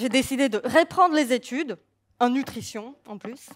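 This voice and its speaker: Lively intonation from a woman with a high voice. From Slovakia. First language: Slovak (speaking French). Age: young. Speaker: nutrition coach. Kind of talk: public talk. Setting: stage with audience.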